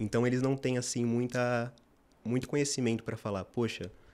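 The man talks at a fairly quick pace. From Brazil, São Paulo (north zone). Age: 20s. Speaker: medical student; guest. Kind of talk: interview. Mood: relaxed, friendly. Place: studio. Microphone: studio mic.

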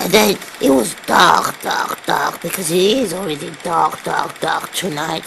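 Noticeable background noise runs under the recording. A woman speaks at a fairly slow pace. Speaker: comedian. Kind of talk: comic bedtime story in an old-granny character voice. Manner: slow, rambling, halting, with repeated words and forgetful pauses. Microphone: webcam.

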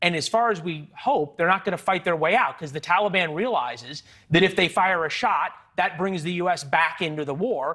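Against a quiet background, a man speaks at a moderate pace in a high pitch with a bright, sharp tone. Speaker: television news host. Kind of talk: news interview. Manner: blunt, assertive. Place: studio. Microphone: lapel.

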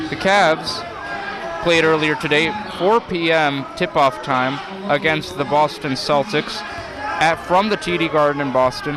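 At a fairly slow pace with long, frequent pauses, a man with a fairly high pitch and ordinary pitch variation speaks in a dry sound with no echo over noticeable background noise. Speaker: sports commentator. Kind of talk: live play-by-play sports commentary. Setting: high school gym broadcast. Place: hall.

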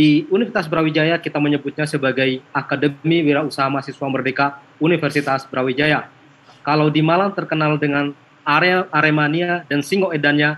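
A man speaks in an unremarkable speaking voice at a fairly high pitch, with a fairly quick pace and fairly even intonation. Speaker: university program presenter; presenter. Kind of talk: presentation and Q&A. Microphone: video call.

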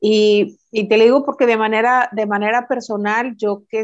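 A woman is speaking. The background is quiet. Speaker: reading mediator. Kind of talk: casual interview. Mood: warm nostalgic storytelling. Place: home room. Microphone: video call.

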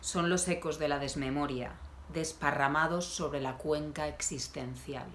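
A woman speaks in an intense, dramatic tone with a very deep, low pitch over light background noise. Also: fairly even intonation, fairly slow pace. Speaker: poet. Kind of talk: poem reading. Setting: video channel, self-recorded. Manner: intense, dramatic, deliberate delivery; conversational, wry tone in intros. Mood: calm, somber, intimate. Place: home room. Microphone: phone near.

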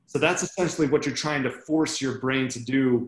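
Delivery is at a moderate pace with monotone, flat intonation. Room echo is audible. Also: man. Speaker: army veteran and MS patient speaker. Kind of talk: talk to a club meeting. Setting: video call. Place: home room. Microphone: webcam.

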